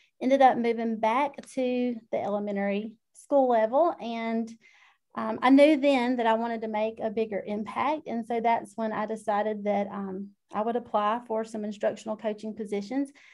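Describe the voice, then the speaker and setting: Against a quiet background, a woman with a Southern US accent speaks at a fairly high pitch with fairly even intonation. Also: moderate pace. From South Georgia, US. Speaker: instructional technology educator. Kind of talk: casual interview chat.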